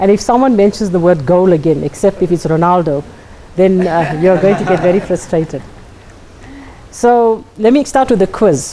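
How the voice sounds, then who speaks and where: A woman at medium pitch speaks at a moderate pace with lively intonation and very even loudness, over noticeable background noise. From South Africa, KwaZulu-Natal. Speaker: life coach and speaker. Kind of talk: workshop talk to a live audience. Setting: classroom with live audience.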